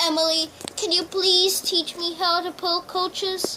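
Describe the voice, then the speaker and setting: Against clear background noise, a woman uses a put-on character voice at an extremely high pitch, speaking at a moderate pace with monotone, flat intonation. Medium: read story. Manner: earnest.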